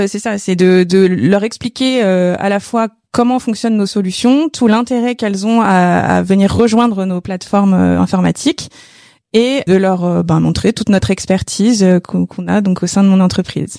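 Dark and mellow, a woman's medium-pitched voice moves at a fairly slow pace with ordinary pitch variation. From Paris region, France. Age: 30s. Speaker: sales director. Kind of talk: testimony. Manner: hesitant, many fillers.

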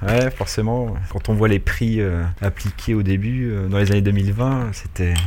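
Audible room echo surrounds a man with a fairly low pitch. His intonation stays fairly even. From Paris, France. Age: 30s. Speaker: fantasy football manager. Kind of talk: casual chat.

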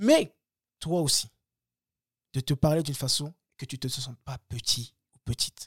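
A man's voice with a dry, close sound and no echo. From Paris suburbs, France (Bagneux). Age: 30s. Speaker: former pro boxer and coach. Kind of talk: casual interview. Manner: hesitant with many fillers and repetitions.

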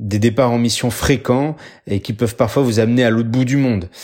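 Fairly even in intonation, a man talks at a medium pitch on a very clean recording with a silent background. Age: 30s. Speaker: military doctor. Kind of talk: scripted narration.

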